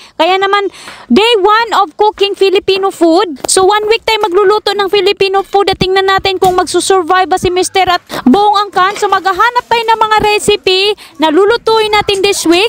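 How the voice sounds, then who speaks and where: A woman shouting at an extremely high pitch, fairly quick, with fairly even intonation and very even loudness, over noticeable background noise. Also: dry, close sound with no echo. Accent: Visayan. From Visayas, Philippines. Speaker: cooking vlogger, mother. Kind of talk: cooking vlog. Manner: loud, almost shouting; fierce-sounding.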